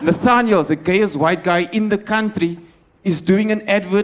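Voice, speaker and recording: A man with a high pitch talks at a moderate pace over noticeable background noise. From South Africa, Cape Town. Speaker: stand-up comedian. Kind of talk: stand-up. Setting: stage with audience. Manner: animated.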